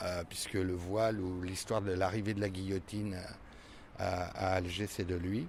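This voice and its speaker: The delivery is monotone, with flat intonation. The pace is fairly slow. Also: man, very deep, low pitch for a man. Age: 60s. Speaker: stage actor. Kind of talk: interview. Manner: hesitant, many fillers.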